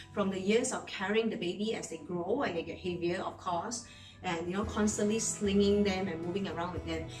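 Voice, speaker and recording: A woman speaks with a Singaporean accent. Music plays in the background, and the room echo is audible. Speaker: real estate agent. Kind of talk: vlog monologue. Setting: at home in bedroom.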